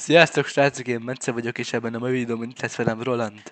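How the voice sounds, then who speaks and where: A man speaks at a fairly quick pace and medium pitch, his intonation monotone and flat. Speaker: gaming YouTuber. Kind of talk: casual chat.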